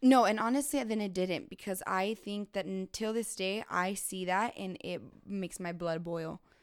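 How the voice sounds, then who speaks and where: At a moderate pace, a woman speaks in a medium pitch with a normal speaking voice, on a very clean recording with a silent background. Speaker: guest. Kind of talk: casual podcast conversation.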